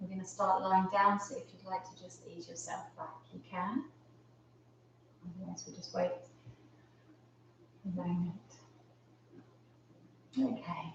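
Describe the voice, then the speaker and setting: A woman speaks at a fairly slow pace in a calm, gentle tone, with long, frequent pauses. Noticeable background noise is heard. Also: big swings in loudness. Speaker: yoga teacher. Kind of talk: live online yoga class instruction.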